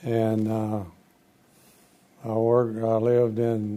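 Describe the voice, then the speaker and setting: In an American accent, a man speaks at a medium pitch with monotone, flat intonation. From Texas, north (Frisco). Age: 80s+. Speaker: retired engineer and businessman, former economic development board chair. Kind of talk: interview. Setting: studio. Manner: halting.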